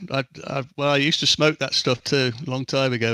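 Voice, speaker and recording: The sound is dry and close, with no echo. The tone is bright and sharp. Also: man. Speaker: sim racing driver. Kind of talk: post-race interview.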